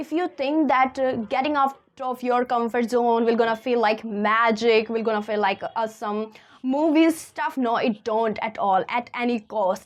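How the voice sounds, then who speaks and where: With a non-native accent and a high pitch, a woman speaks at a fairly slow pace with ordinary pitch variation. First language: not English. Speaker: self-help content creator. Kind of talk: motivational talk. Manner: animated.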